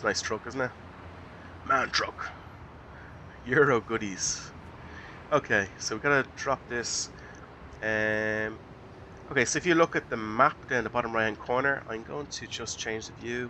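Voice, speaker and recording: In an Irish accent, a man speaks at a moderate pace and medium pitch. His intonation is fairly even, broken by long, frequent pauses. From Ireland. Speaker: gaming YouTuber. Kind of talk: let's play commentary. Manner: hesitant, many fillers.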